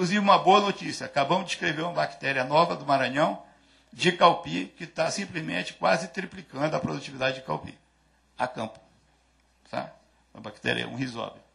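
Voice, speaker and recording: A man talks at a fairly quick pace in a fairly high pitch, with very wide pitch swings and big swings in loudness. His tone is bright and sharp with vocal fry, against a quiet background. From Brazil. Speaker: agricultural research coordinator; conference speaker. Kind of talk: lecture. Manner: halting. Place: hall. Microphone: podium.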